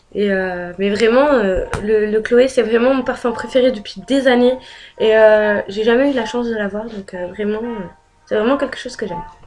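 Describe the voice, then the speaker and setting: Noticeable background noise surrounds a woman speaking at a fairly high pitch with fairly even intonation. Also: moderate pace. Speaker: beauty and lifestyle youtuber. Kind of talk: casual vlog talk. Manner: hesitant, many fillers.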